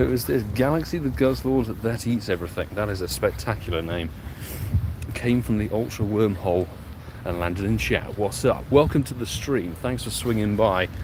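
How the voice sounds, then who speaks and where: Over noticeable background noise, a man with an English accent speaks at a fairly low pitch with lively intonation. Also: moderate pace. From London, England. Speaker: pokemon go streamer. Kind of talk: live stream commentary. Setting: outdoors playing on the go. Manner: casual, animated.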